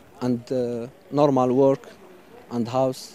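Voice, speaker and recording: Over noticeable background noise, a man speaks at a medium pitch and a fairly slow pace. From Western Sahara, Morocco. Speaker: migrant. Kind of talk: interview. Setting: outdoors. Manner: halting.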